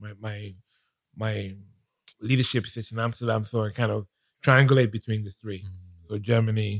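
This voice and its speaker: A man speaks at a fairly quick pace in a monotone, flat intonation, with long, frequent pauses, big swings in loudness and a dry, close sound with no echo. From Nigeria. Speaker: business executive and author. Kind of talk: casual interview. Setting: studio.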